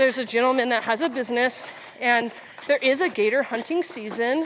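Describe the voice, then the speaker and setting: Noticeable background noise sits behind a woman speaking with an American accent. She talks at a fairly quick pace in a high pitch with ordinary variation. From South Texas. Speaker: physical therapist and army officer. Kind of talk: casual chat. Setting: outdoors on a hiking trail.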